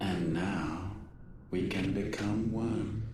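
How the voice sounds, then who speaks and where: A man uses a put-on character voice. There is a slight echo. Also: fairly low pitch for a man. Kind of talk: epic villain monologue. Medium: video game. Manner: grandiose, measured, detached.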